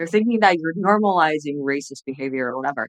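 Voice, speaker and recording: A woman speaks with a slight Chinese accent and very wide pitch swings. The sound is dry and close, with no echo. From China, then US. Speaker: former TV journalist and entrepreneur. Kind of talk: podcast interview.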